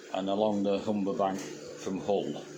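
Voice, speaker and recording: A man with a Yorkshire accent speaks in a relaxed tone at a fairly low pitch. Audible room echo and noticeable background noise surround him. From Yorkshire, England (Huddersfield area). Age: 70s. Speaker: YouTuber, expat farmer. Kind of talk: casual monologue. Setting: at home, quiet morning. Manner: relaxed, some hesitations.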